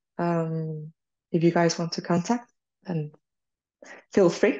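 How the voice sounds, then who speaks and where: Against a quiet background, a woman talks at a fairly slow pace in a dark, mellow tone. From Spain. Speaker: graphic designer. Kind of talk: presentation Q&A.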